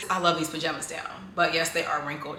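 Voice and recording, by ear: A woman's bright, sharp-toned voice with audible room echo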